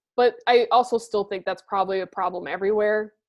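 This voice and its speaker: A woman of medium pitch talks at a fairly quick pace in an unremarkable speaking voice. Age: late 20s. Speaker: podcast co-host. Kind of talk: casual chat. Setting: video call.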